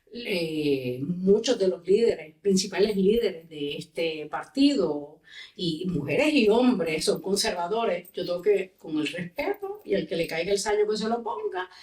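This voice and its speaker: A woman talks at a medium pitch with a Puerto Rican accent. She leaves hardly any pauses. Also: lively intonation, fairly slow pace. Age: 60s. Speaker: politician and lawyer. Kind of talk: podcast interview.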